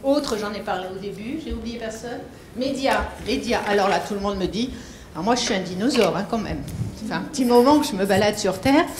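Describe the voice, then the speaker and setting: Music plays behind a woman with a fairly high voice who speaks at a fairly quick pace, with audible room echo. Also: ordinary pitch variation. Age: old. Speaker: foundation founder. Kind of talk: speech to an audience.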